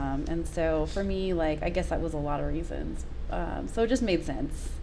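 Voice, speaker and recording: Over noticeable background noise and audible room echo, a woman with an American accent talks at a moderate pace. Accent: Southern US, comes out at times. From US South, South Georgia near Savannah. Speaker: health and productivity coach. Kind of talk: casual podcast interview. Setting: live podcast with microphones.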